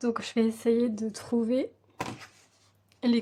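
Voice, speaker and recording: A woman talks very slowly, her voice pitched fairly high. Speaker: coloring hobby youtuber. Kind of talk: tutorial. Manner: slow, breathless.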